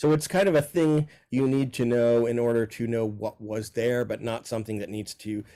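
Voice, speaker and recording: In a very clean recording with a silent background, a man with a dark, mellow tone and medium pitch talks at a fairly quick pace with ordinary pitch variation. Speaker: professor. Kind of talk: interview monologue. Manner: fast.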